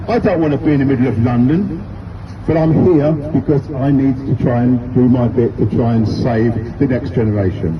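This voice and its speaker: Noticeable background noise and audible room echo surround speech with lively intonation at a moderate tempo. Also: man. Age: 60s. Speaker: street campaigner, retired teacher and football coach. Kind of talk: street speech to passers-by. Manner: emphatic, repetitive.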